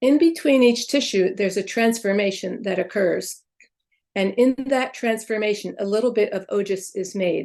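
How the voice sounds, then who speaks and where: In a normal speaking voice, a woman talks at a moderate pace with medium pitch and ordinary pitch variation. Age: 60s. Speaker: Ayurvedic practitioner and chiropractor. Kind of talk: interview.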